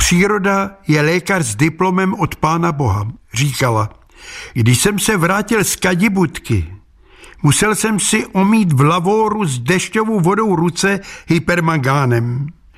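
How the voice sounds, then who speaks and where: A man talks in a high pitch. His pace is fairly slow. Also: lively intonation. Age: old. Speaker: humorous columnist. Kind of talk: scripted narration.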